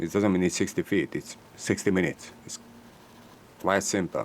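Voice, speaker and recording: A man with a Hungarian accent speaks at a moderate pace in a very deep, low voice. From Hungary. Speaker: electronics repair technician. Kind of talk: tutorial. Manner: halting.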